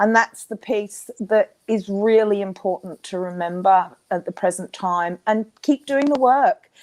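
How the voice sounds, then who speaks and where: A woman with an Australian accent talks at a fairly slow pace with hardly any pauses, medium pitch and ordinary pitch variation, on a very clean, dry, close recording with a silent background and no echo. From Australia, Queensland. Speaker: intuitive healer and coach. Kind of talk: interview.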